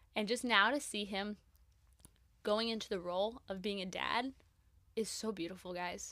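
A woman talks at a moderate pace in a bright, sharp tone. The recording is very clean, with a silent background. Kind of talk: casual solo podcast talk. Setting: studio. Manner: animated.

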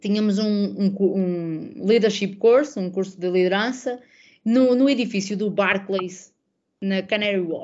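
A woman speaks in an ordinary speaking voice at medium pitch. Her pace is fairly slow, with ordinary pitch variation. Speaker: women's football social media professional and podcaster. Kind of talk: casual chat.

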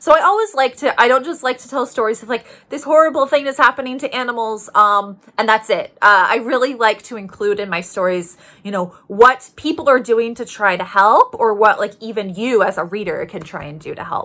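Lively in intonation, a woman with a Canadian accent talks at a fairly quick pace in a bright, sharp tone at a fairly high pitch. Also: big swings in loudness. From Canada, Toronto. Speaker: journalist. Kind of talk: interview.

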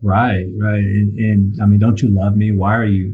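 Fairly low male voice, moderate pace. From southern California. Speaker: recovering addict sharing story. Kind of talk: testimony. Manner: halting, many fillers and repeats.

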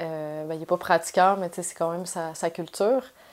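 Music plays behind a woman speaking at a fairly low pitch. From Quebec City, Quebec. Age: 30s. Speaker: journalist. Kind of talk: testimony. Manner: halting, many hesitations.

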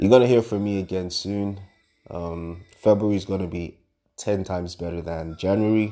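Over music in the background, a man with a very deep, low pitch speaks at a moderate pace with fairly even intonation. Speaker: podcaster giving a short prayer. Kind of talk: fervent prayer for listeners, spoken as blessing. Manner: earnest, assured, fervent; chatty, self-correcting, warm.

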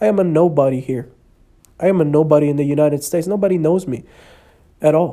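A man talks at a very fast pace with long, frequent pauses, in a slight Spanish accent. His voice is fairly high with a dark, mellow tone and ordinary pitch variation. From El Salvador. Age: 20s. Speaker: podcast host. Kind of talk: personal testimony.

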